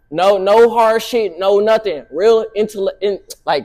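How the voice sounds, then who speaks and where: A man speaks in a high pitch. His tone is animated. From Baltimore, Maryland, and New England. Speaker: rapper. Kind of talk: casual interview chat. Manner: halting, stumbling over words; animated, emphatic.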